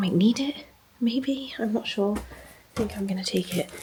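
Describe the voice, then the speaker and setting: A woman talks at a fairly slow pace with lively intonation. Her medium-pitched voice comes through noticeable background noise. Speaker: bookshop owner and vlogger. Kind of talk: casual vlog talk to camera. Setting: hotel room. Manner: quiet, hushed.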